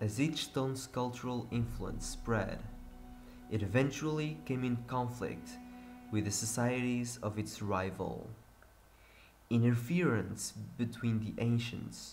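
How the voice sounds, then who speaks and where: In a room with audible echo, a man with a Portuguese accent talks at a fairly slow pace. His voice is somewhat breathy and medium in pitch. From Portugal. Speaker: gaming youtuber. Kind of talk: reading aloud.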